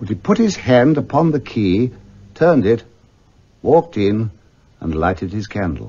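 With vocal fry and very wide pitch swings, a man speaks at a medium pitch and a moderate pace, leaving long, frequent pauses. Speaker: actor. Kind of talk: classic radio story narration.

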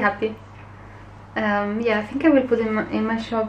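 Light background noise sits under the recording. A woman speaks at a moderate pace. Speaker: illustrator vlogger. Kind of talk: casual vlog chat. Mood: pleased, upbeat. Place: home room. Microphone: phone near.

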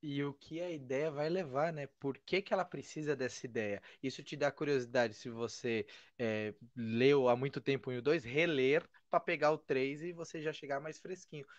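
A man speaks with ordinary pitch variation. The sound is dry with no echo over a quiet background. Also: moderate pace. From Brazil. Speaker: podcast host. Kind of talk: casual interview. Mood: friendly, enthusiastic. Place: home room. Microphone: studio mic.

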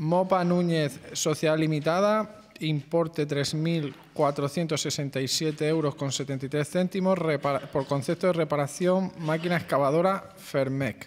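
A man speaks very slowly with fairly even intonation. Light background noise runs underneath. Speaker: council secretary reading agenda item. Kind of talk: formal reading of a council resolution. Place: hall.

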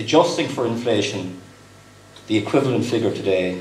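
Speaking with a Cork accent, a man with a fairly low pitch uses lively intonation amid light background noise and audible room echo. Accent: Cork Irish. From West Cork, Ireland; Ireland. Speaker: company executive, guest speaker; guest. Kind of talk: dinner speech. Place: hall. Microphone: podium.

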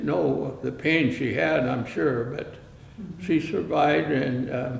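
A man speaks at a very slow pace with ordinary pitch variation, with audible room echo and light background noise. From Canada. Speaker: oral history narrator. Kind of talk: oral history interview. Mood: reflective, calm recollection. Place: studio.

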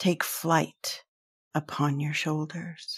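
A woman's somewhat breathy voice, dry and close with no echo, on a very clean recording with a silent background. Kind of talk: spoken word poem, alternating stanzas in a duet reading.

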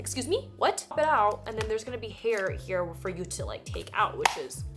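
There is faint music in the background as a woman speaks. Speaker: haul vlogger. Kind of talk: casual unboxing vlog chat. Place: home room.

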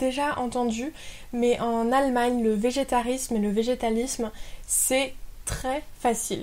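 Her pitch is high. The woman speaks with fairly even intonation. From France. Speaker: YouTuber; expat vlogger. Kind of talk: vlog monologue.

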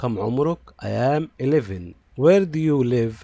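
A man's voice of medium pitch, dark and mellow in tone, with lively intonation at a very slow pace. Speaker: English teacher for primary pupils. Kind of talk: tutorial.

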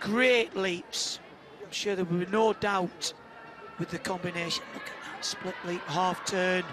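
A man with a high pitch and fairly even intonation at a fairly slow pace, over noticeable background noise. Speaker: live gymnastics commentator. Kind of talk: live sports commentary. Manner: running play-by-play, clipped exclamations.

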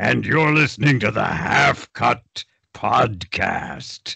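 Using a raspy, put-on character voice of medium pitch, a man speaks at a very slow pace.

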